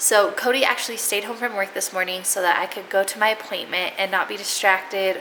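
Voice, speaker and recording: Medium in pitch, a woman speaks at a fairly quick pace. Noticeable background noise is present. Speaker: family vlogger. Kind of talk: casual vlog update.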